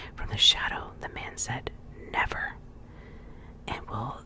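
Against noticeable background noise, a soft-spoken woman whispers. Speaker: reader. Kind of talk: soft story reading aloud. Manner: soft close-mic ASMR whisper reading. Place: home room. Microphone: studio mic.

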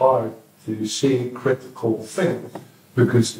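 Very slow in pace, a man talks with medium pitch and fairly even intonation. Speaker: audience participant. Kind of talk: group discussion. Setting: in-person community event with audience.

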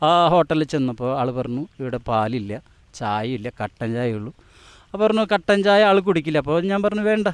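A man's voice leaps through very wide pitch swings. The sound is dry and close, with no echo. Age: 50s. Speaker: self-proclaimed divine incarnation, mechanic. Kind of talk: interview.

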